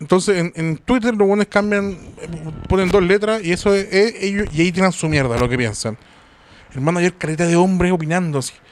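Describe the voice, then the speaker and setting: Speaking at a fairly quick pace in a Chilean accent, a man uses a high pitch with ordinary pitch variation. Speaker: podcast host. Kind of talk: casual chat.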